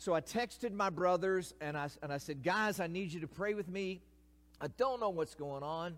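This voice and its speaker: This man has a high voice and a Kentucky accent. His intonation is lively and his pace is moderate. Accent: Kentucky Southern US. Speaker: retired pastor, guest preacher. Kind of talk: sermon. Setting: church.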